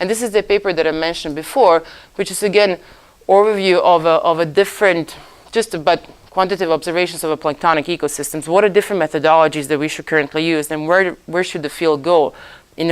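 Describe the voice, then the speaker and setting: A woman with a Croatian accent speaks at a very fast pace, her fairly low voice moving with ordinary pitch variation. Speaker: oceanographer lecturer. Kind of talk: lecture. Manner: halting.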